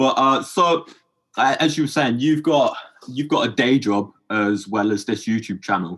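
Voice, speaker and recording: A man speaks at a moderate pace in an English accent, his pitch medium. His intonation is lively and his loudness stays very even. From England. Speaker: podcast host. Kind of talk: podcast interview.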